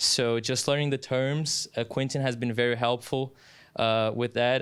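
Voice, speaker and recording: A man's medium-pitched voice with a Brazilian Portuguese accent. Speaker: sports announcer. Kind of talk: casual interview. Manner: halting, many fillers; animated.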